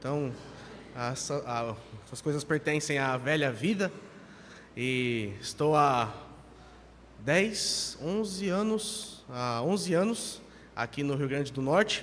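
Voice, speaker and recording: The speech is very slow, with long, frequent pauses and lively intonation. Noticeable background noise and audible room echo are present. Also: man, fairly high pitch for a man. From Brazil, São Paulo. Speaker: pastor. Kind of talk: sermon. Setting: church.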